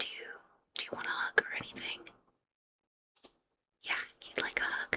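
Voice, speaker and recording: Whispering, a woman leaves long, frequent pauses, with big swings in loudness. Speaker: ASMR artist. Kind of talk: ASMR roleplay, whispered makeup session. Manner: whispered, soft-spoken.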